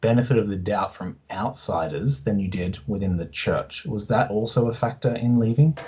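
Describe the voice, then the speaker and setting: A man's somewhat breathy voice with a dark, mellow tone. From Australia. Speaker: podcast host, interviewer. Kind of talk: casual interview chat.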